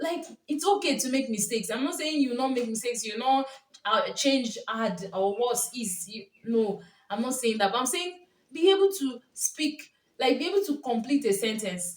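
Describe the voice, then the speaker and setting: With a Nigerian accent, a woman talks at a moderate pace in a high pitch, her tone animated and her pitch swinging very widely. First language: Yoruba. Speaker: YouTuber, lifestyle vlogger. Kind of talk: casual vlog monologue.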